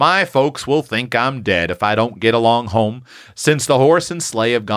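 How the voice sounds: The speaker uses a natural reading voice. The pitch variation is ordinary.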